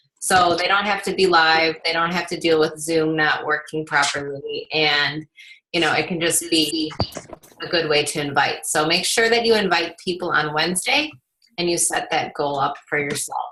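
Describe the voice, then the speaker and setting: A woman has an unremarkable speaking voice, pitched fairly low. She keeps a moderate pace and fairly even intonation. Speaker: team leader of fitness coaches. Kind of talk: team call announcements. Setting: video call.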